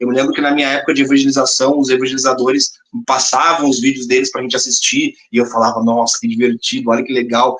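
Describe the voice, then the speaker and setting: In a southern Brazilian accent, a man speaks fairly quickly at a medium pitch. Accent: gaúcho Brazilian Portuguese. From Rio Grande do Sul, southern Brazil. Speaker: spiritist comedian and content creator. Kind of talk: podcast interview. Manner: animated.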